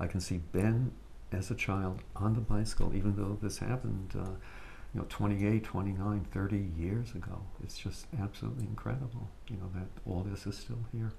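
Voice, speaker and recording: A man with a fairly low pitch speaks at a fairly quick pace with vocal fry and fairly even intonation, and audible room echo can be heard. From New York City (Brooklyn). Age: 70s. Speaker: storyteller. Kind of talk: casual chat. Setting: outdoors. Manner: halting.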